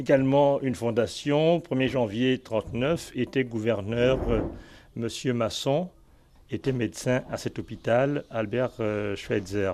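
Talking at a very slow pace, a man has a dark, mellow tone and ordinary pitch variation. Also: medium pitch for a man. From Gabon. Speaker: guide to the hospital's history. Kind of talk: interview.

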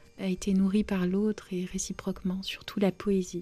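This is a woman talking. Her voice has a medium pitch. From Romania. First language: Romanian (speaking French). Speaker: novelist. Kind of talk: interview.

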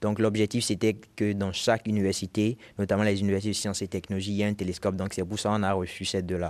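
A man talks at a very fast pace in a fairly low, monotone, flat voice. The recording is very clean, with a silent background. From Benin. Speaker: physics student, astronomy club founder. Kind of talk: interview. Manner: halting, fillers.

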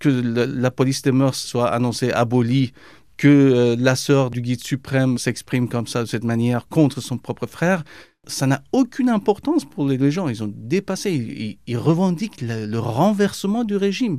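Lively intonation marks a man's dark, mellow tone. He speaks at a fairly slow pace in a very clean recording with a silent background. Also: medium pitch for a man. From Iran. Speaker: journalist. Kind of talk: interview. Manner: hesitant, with repetitions.

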